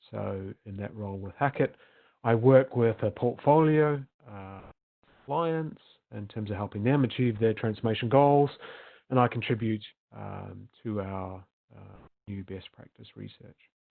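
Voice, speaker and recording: A man's medium-pitched voice at a fairly slow pace, with ordinary pitch variation, long, frequent pauses and big swings in loudness. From New Zealand. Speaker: management consultant. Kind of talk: webinar presentation. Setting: virtual summit recording. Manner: hesitant with frequent fillers.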